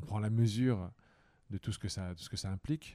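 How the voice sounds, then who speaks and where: A man is talking with a dark, mellow tone. His pitch variation is ordinary. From northeastern France. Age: 40s. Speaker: politician. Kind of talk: interview. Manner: halting.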